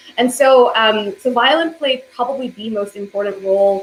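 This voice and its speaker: Heard over noticeable background noise, a woman with an American accent talks at a moderate pace, her fairly high pitch showing ordinary variation. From South Korea, then Alabama from age 8. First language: Korean. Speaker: violinist. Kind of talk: interview conversation. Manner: hesitant, many fillers.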